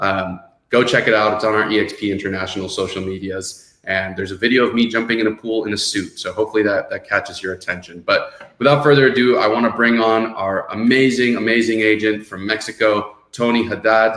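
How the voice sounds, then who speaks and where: A man with a Miami accent, medium pitch, fairly even intonation and a fairly quick pace with hardly any pauses. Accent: Miami American English. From US, Miami (born in Venezuela). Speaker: podcast host, real estate executive. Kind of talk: webinar show hosting.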